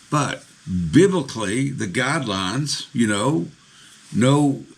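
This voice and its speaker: Against noticeable background noise and audible room echo, a man speaks at a medium pitch with lively intonation. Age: 60s. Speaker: pastor. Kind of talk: sermon.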